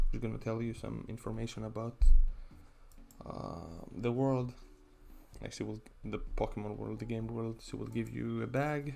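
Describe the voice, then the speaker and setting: A man with a non-native accent speaks at a moderate pace with long, frequent pauses while music plays in the background. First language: not English. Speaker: gaming YouTuber. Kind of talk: gameplay commentary. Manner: casual, halting with fillers.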